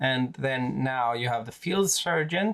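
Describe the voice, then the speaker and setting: A man's medium-pitched voice with a Swedish accent, at a fairly slow pace. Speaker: wargaming YouTuber. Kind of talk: tutorial. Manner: halting, many fillers.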